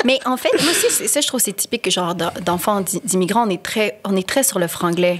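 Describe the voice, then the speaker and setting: Fairly quick delivery with hardly any pauses, ordinary pitch variation and noticeable background noise. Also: woman, medium pitch for a woman. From Quebec. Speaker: podcast co-host. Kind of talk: casual chat. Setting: studio. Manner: code-switching French and English.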